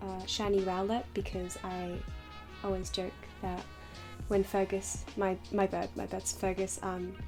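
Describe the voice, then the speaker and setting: A soft-spoken woman at a fairly slow pace, with music in the background. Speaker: doll maker YouTuber. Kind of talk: casual chat. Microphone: poor audio quality.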